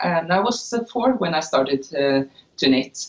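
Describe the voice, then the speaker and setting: At a moderate pace, the speaker uses very wide pitch swings in a Norwegian accent. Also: woman. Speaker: knitwear designer. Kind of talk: interview. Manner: halting, many filler uhs.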